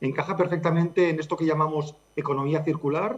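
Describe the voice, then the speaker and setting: Over noticeable background noise, a man with a Catalan accent and a fairly high pitch talks in a monotone, flat intonation. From Catalonia. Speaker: charity director. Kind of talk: interview.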